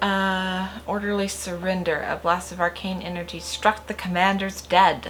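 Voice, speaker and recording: Monotone, flat intonation is heard over noticeable background noise. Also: woman. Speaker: gaming youtuber. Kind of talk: let's play commentary. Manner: casual, thinking aloud; reading game text aloud.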